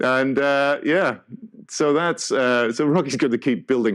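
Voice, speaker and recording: His voice has a medium pitch. It belongs to a man. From Northern Ireland, Belfast. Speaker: tech conference speaker. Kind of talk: conference keynote talk. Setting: stage with audience.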